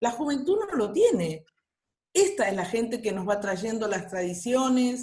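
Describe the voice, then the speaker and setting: Delivery is very slow. Pitch leaps across a very wide range. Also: woman. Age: 60s. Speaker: workshop participant, retiree. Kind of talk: online workshop discussion.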